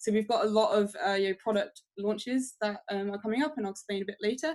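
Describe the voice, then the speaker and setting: Fairly quick delivery from a woman, pitched in the medium range. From England. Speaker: crypto company marketing manager. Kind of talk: interview on a webinar. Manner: hesitant, many fillers.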